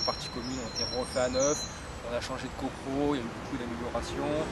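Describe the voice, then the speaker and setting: With a good deal of background noise around him, a man talks in a medium pitch. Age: 30s. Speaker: property investor, firefighter. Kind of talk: interview answer.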